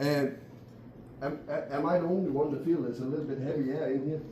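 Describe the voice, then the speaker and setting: A man speaks with monotone, flat intonation. The room echo is audible. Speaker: poultry industry speaker. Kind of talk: conference presentation. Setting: meeting room with audience.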